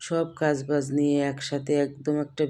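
A woman's very deep, low-pitched voice with monotone, flat intonation amid noticeable background noise. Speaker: cooking vlogger. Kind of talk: vlog narration. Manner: casual, chatty.

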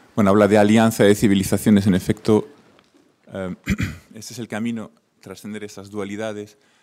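A man speaks in a monotone, flat intonation with a dark, mellow tone at a fairly quick pace. His loudness swings widely, and long pauses come often. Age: young. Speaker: audience member. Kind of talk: audience question.

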